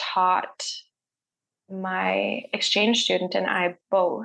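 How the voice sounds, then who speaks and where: This woman has a Canadian prairie accent and a medium pitch. She talks at a very slow pace. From Canada, Saskatchewan (Saskatoon). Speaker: holistic healer, reflexologist and reiki practitioner. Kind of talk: casual interview chat. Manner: frequent fillers and self-repeats.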